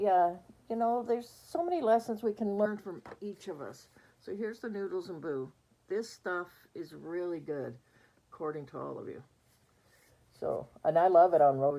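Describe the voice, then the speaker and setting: A woman's dark, mellow tone at a moderate pace, with lively intonation and big swings in loudness. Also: medium pitch for a woman. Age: 60s. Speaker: reborn doll collector vlogger. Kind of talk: casual vlog chat. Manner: chatty, hesitant with fillers.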